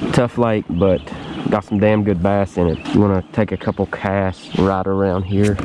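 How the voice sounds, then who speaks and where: Noticeable background noise sits behind a dry sound with no echo. A man speaks fairly slowly in a fairly low, monotone voice with flat intonation. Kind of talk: casual vlog chat. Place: boat. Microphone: phone near.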